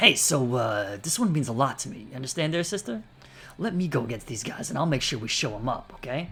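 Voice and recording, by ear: The clip is read aloud in a natural voice with lively intonation.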